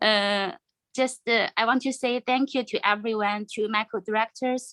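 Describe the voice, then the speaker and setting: A woman with a Chinese accent talks at a moderate pace in a fairly high voice with fairly even intonation, the sound dry and close with no echo. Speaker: former volunteer Chinese language teacher. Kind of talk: farewell remarks at online event. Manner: halting.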